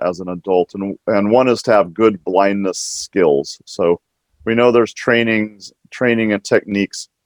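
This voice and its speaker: A man's fairly low voice with an American accent, ordinary pitch variation, and a dry, close sound with no echo. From US Pacific Northwest, Washington state. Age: 60s. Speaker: nonprofit executive, blind advocate. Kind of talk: panel discussion. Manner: halting, many fillers.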